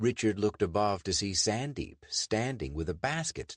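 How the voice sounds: Lively intonation in a natural reading voice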